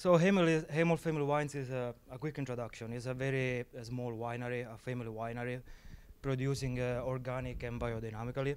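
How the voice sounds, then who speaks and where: In a strong Sicilian accent, a man talks at a very fast pace with fairly even intonation. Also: medium pitch for a man. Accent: heavy Sicilian Italian. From Sicily, Italy. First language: Italian. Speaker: viticulturist. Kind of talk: panel talk. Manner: halting, many fillers.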